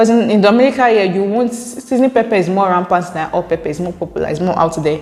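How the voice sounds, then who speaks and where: A woman speaks very fast, with hardly any pauses, in a Nigerian accent. Her pitch is medium and its variation ordinary. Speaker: YouTuber. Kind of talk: reading and reacting to viewer comments. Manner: casual, conversational.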